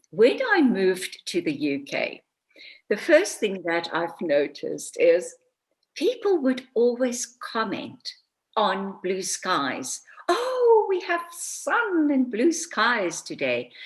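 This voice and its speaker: A woman with a South African accent talks at a very slow pace. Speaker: author and voice coach. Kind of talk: interview.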